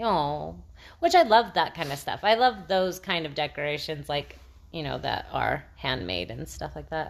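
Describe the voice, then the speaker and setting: Against a quiet background, a woman talks at a moderate pace, her loudness swinging widely. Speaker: podcast co-host. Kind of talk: casual chat. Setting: home, by the fireplace.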